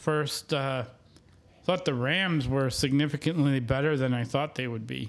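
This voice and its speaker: In an American accent, this is an unremarkable speaking voice, delivered at a fairly slow pace with fairly even intonation. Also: man, fairly high pitch for a man. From Wisconsin, US Midwest. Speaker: sports podcast co-host. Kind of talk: casual chat.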